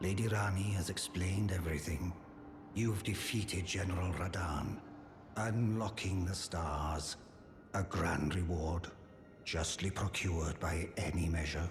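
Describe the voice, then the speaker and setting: In a put-on character voice, a man speaks at a moderate pace with a very deep, low pitch, with clear echo and clear background noise. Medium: machinima. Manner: formal, solemn.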